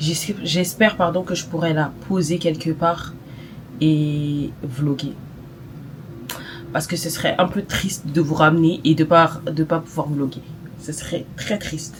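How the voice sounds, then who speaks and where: A woman with a very deep, low voice speaks at a very slow pace, with long, frequent pauses and fairly even intonation. Noticeable background noise is present. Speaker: lifestyle vlogger. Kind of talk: casual vlog. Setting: walking outdoors. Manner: runs out of breath while talking.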